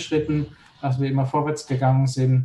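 With monotone, flat intonation, a man speaks in a somewhat breathy, fairly high voice with a dark, mellow tone. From Palatinate, Germany (Neustadt an der Weinstraße). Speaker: organic winemaker. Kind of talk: casual chat.

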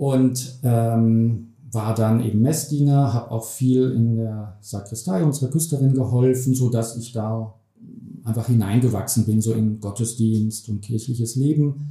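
A man's somewhat breathy, dark and mellow voice at medium pitch, fairly slow, with fairly even intonation. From Germany, Hesse (Bergstraße, Heppenheim). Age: 50s. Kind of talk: interview.

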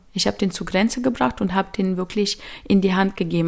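A woman speaks at a medium pitch. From Ukraine, moved to Magdeburg at 13. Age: 30s. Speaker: volunteer aid organizer, shop owner. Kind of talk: interview testimony. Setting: studio, in person. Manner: halting, many fillers.

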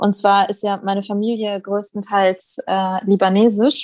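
A woman speaks over a quiet background. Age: 20s. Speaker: doctor and journalist. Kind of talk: casual chat.

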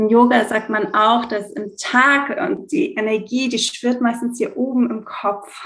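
Fairly high in pitch, a woman talks at a fairly slow pace with ordinary pitch variation and an unremarkable speaking voice. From Greece. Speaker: yoga teacher and essential oil consultant. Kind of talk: interview. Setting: remote recording at home indoors.

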